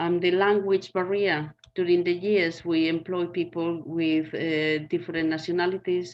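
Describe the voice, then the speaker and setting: A woman with a Spanish accent speaks at a moderate pace, her fairly low pitch held in a monotone, flat intonation. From Spain. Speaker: community garden worker. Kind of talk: panel discussion.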